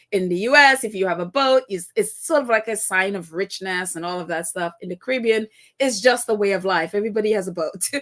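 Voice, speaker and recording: A woman with a Trinidadian accent talks at a very fast clip with hardly any pauses. Her pitch sits in the middle range with ordinary variation, while her loudness swings widely. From Trinidad and Tobago (Tobago). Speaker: live-stream podcast host. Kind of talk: casual live-stream chat.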